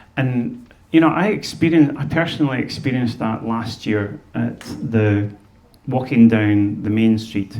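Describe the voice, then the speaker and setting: A man speaks in a Scottish accent with a medium pitch and a dark, mellow tone. His pitch varies in an ordinary way, and room echo is audible. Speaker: fiddler and speaker on Scottish music. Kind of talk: talk to an audience. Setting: museum stage with audience and microphone. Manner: halting, with many repeated words.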